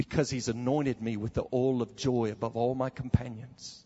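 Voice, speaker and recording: The man's voice sits at a medium pitch. There is some breathiness to it. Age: 30s. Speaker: preacher. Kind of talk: sermon. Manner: animated.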